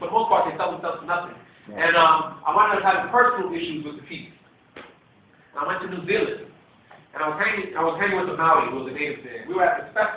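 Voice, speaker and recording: The speaker talks at a very fast pace with ordinary pitch variation and big swings in loudness, against noticeable background noise. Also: man, high pitch for a man. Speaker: poet. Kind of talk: spoken intro to a poem. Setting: live audience.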